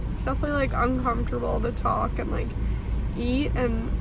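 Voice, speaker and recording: The speaker keeps a moderate pace, the sound is dry with no echo, and background noise is noticeable. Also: woman. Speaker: vlogger. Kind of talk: casual vlog chat. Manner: sore jaw, limited mouth opening. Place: car. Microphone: phone near.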